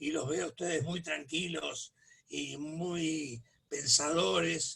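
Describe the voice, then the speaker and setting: Here a man talks at a very slow pace. His pitch is fairly high, with ordinary variation. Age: 70s. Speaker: political activist. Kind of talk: casual chat.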